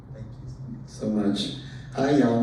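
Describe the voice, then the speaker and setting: Audible room echo and noticeable background noise around a man speaking in an American accent. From rural Southwest Texas. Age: 60s. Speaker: invited speaker on transgender issues. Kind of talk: talk to a community group.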